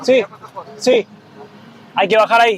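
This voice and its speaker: With crowd noise behind him, a man with an extremely high pitch and an Argentine accent talks at a moderate pace. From Argentina. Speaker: travel vlogger. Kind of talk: travel vlog narration. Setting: outdoors at border crossing.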